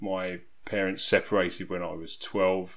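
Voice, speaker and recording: With an English accent, a man speaks at a fairly low pitch. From southeast England. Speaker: resilience coach. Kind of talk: podcast interview.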